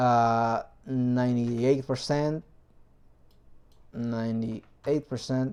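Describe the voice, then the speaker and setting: Someone speaks with a non-native accent at a very slow pace. Long pauses come often. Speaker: 3D printing hobbyist, video maker. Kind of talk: tutorial. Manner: hesitant, many fillers.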